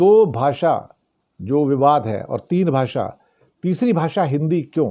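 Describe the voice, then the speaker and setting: A man is speaking. His intonation is lively. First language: not Hindi (speaking Hindi). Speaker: political news commentator. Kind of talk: news commentary monologue.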